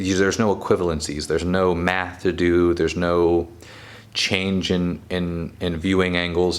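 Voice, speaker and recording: This is a man's voice. Its pitch is very deep and low. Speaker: photography youtuber. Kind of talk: casual camera review monologue. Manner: hesitant, stumbles over words.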